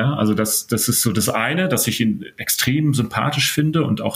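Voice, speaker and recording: A man uses an ordinary speaking voice, talking fairly quickly with lively intonation. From northern Germany (Stade, Elbe). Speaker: business psychology professor and consultant. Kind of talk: interview.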